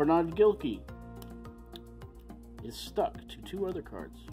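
Someone speaks at a fairly slow pace over clear music in the background. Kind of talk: casual vlog chat. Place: home room.

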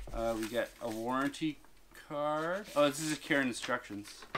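A man talks over noticeable background noise. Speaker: product reviewer. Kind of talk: casual unboxing commentary. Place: home room.

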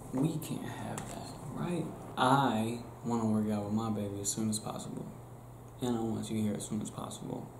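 A man talks at a moderate pace with a fairly low pitch and ordinary pitch variation. Noticeable background noise sits behind him. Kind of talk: casual role-play monologue to camera. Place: home room. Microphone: webcam.

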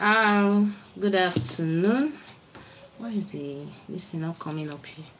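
Long pauses come often as a woman talks at a fairly slow pace, with lively intonation. Her loudness swings widely, and light background noise can be heard. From Nigeria. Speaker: livestream vlogger. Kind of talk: casual livestream chat. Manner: animated. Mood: animated, argumentative at times. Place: home room. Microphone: phone near.

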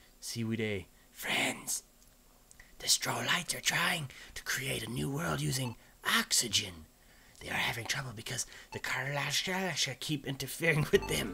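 A whispered, put-on character voice at a moderate pace, broken by long, frequent pauses. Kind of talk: reading game dialogue aloud during let's play. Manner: whispering.

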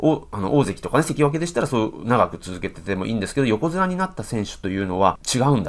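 Talking very fast at a medium pitch, a man makes very wide pitch swings and big swings in loudness. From Japan. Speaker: professional go player and commentator; commentator. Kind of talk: game commentary. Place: home room. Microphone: webcam.

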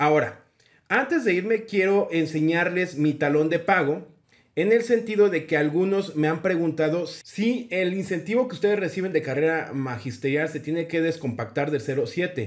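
A man talks at a moderate pace in a high voice with lively intonation. The background is quiet. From Mexico City. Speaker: teacher and education YouTuber. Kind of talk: tutorial. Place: home room. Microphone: webcam.

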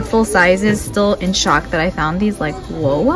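A woman speaks at a moderate pace with ordinary pitch variation. Clear music plays behind her. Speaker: beauty shopping vlogger. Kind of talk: casual vlog chat. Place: shop. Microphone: phone near.

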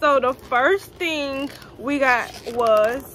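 In a Louisiana accent, a woman with a high pitch uses a raised, projected voice and ordinary pitch variation over light background noise. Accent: Southern US, Louisiana. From Baton Rouge, Louisiana. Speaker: vlogger. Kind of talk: casual vlog talk to camera. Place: home room. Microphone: phone near.

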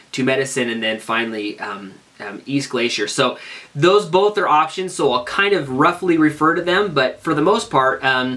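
The delivery moves at a moderate pace with lively intonation. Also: man. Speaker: hiking blogger. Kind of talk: casual vlog chat. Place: home room.

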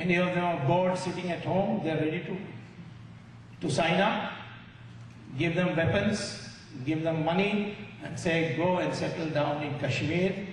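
With audible room echo and light background noise, a man talks at a moderate pace and high pitch, his intonation fairly even and his pauses long and frequent. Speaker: speaker. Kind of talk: public speech. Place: hall. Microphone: podium.

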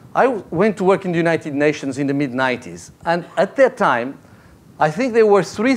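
This man speaks with a Portuguese accent at a moderate pace. His pitch is high. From Portugal. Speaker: foundation executive; speaker. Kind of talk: panel talk. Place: hall. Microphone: podium.

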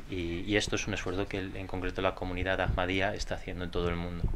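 A man speaks at a very deep, low pitch with monotone, flat intonation. Noticeable background noise is present. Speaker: interpreter. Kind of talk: consecutive interpreting. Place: hall.

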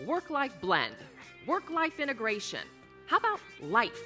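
Over faint background music, a woman with a high pitch projects a raised voice in an upbeat, energetic tone at a fairly slow pace. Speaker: keynote speaker. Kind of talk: keynote speech excerpts in a promo reel. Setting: live keynote on stage to an audience. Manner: upbeat, energetic, humorous. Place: stage. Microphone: headset.

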